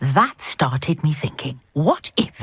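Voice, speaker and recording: A put-on character voice, growling with an enthusiastic tone, sits at a middle pitch and moves at a fairly slow pace. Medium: video game. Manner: articulate, genteel, enthusiastic.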